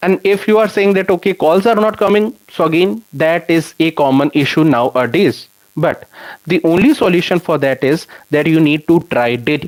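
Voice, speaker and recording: Speaking with an Indian accent, a man uses a high pitch, ordinary pitch variation and very even loudness at a moderate pace. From India, Punjab/Chandigarh area. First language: Hindi. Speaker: software developer and YouTube educator. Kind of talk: live stream Q&A with chat. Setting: live stream. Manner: conversational, with fillers.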